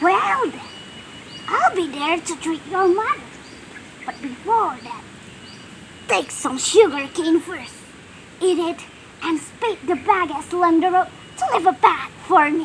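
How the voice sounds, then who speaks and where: A woman puts on a character voice at an extremely high pitch, speaking fairly slowly with long, frequent pauses over clear background noise. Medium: read story. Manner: loud, menacing.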